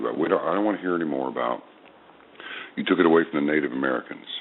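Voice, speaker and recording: A man talks at a very deep, low pitch. There is noticeable background noise. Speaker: veteran radio host and voice actor. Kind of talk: radio interview answer.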